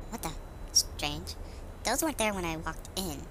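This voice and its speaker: A cartoonish character voice moves at a moderate pace. Loud noise fills the background. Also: female-sounding voice. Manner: panicked, shouting.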